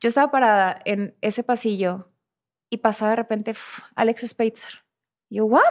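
A woman talks at a fairly high pitch and a moderate pace, her intonation fairly even. Long, frequent pauses and big swings in loudness stand out against a quiet background. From northern Mexico. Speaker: actress. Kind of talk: casual interview. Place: studio. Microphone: studio mic.

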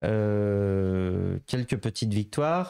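Against a quiet background, a man with a fairly low pitch and a dark, mellow tone speaks very slowly with lively intonation. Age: 20s. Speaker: member of parliament; guest. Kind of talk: interview. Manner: hesitant, many filler sounds. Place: office. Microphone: handheld.

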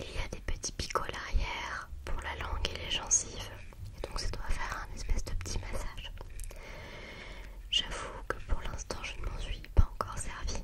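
A soft-spoken woman whispers at a moderate pace. Long pauses come often between her words. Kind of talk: soft close-mic vlog chat. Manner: soft ASMR whisper close to mic. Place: home room. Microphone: studio mic.

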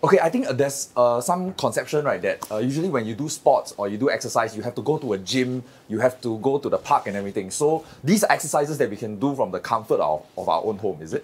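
At a very fast pace with hardly any pauses, a man talks with lively intonation. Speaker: show host. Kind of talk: presenter talk. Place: studio.

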